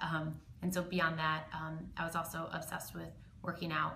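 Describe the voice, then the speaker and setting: With audible room echo, a woman speaks at a fairly low pitch in a monotone, flat intonation. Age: 20s. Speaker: eating disorder survivor, panelist. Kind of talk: personal testimony. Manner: halting, many fillers.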